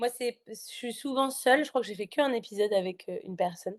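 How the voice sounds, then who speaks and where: A woman talks at a fairly quick pace with ordinary pitch variation. The sound is dry and close with no echo, over a quiet background. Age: 20s. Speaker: life coach and podcaster. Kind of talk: podcast interview. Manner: talkative, hesitant with many fillers.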